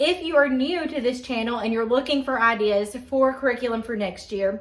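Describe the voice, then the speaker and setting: Speaking in a Southern accent, a woman talks at a moderate pace with a high pitch and ordinary pitch variation. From Georgia, US South. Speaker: homeschooling parent and YouTuber. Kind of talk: casual vlog talk to camera. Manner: animated.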